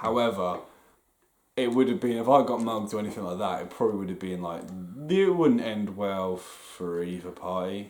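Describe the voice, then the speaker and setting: At a medium pace, a man talks in a somewhat low register, his voice carrying audible echo from the room. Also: ordinary pitch variation. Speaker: podcast co-host. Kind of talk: casual chat. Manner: animated.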